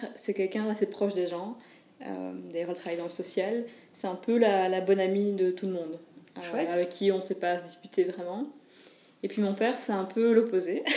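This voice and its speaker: A woman talks at a moderate pace in a medium pitch with fairly even intonation. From Belgium, Mons. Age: 20s. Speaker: photographer and wedding entrepreneur. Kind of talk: interview. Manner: halting.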